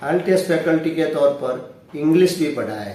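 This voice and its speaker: Through noticeable background noise and audible room echo, a man speaks at a high pitch with fairly even intonation. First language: Gujarati (speaking Hindi). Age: 60s. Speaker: retired science teacher and motivational speaker. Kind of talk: self-introduction monologue.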